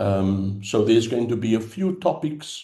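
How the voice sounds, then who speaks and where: A man speaks at a fairly slow pace in a dark, mellow tone that is somewhat breathy. Audible room echo surrounds his voice. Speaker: theological education consultant. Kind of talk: lecture.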